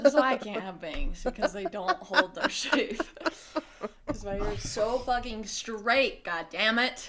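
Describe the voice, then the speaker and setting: A woman with a fairly high pitch speaks at a moderate pace, her pitch swinging very widely. Noticeable background noise runs beneath her. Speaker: podcast co-host. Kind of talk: recorded intro note; casual chat. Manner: quiet. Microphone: mic barely picks her up, very quiet.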